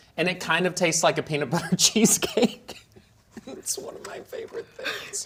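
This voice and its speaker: Over noticeable background noise, a man speaks at a moderate pace, his loudness swinging widely. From US South, Georgia (Atlanta area / North Georgia). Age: 30s. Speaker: interview guest. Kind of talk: casual chat.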